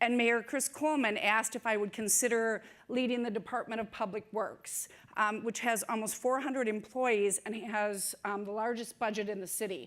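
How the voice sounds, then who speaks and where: In an Upper Midwest accent, a woman speaks at a fairly high pitch with fairly even intonation. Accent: Upper Midwest American. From Saint Paul, Minnesota. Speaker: city public works director. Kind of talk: conference talk. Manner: fast.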